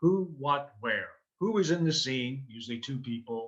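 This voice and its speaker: A bright, sharp tone with lively intonation, a fairly slow pace and a New York accent. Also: man. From New York City (Queens). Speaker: improv teacher and performer. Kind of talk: interview.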